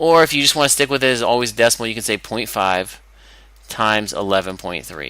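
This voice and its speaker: A man's bright, sharp tone at a very fast pace, with ordinary pitch variation, in a very clean recording over a silent background. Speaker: math teacher. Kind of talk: tutorial. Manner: animated.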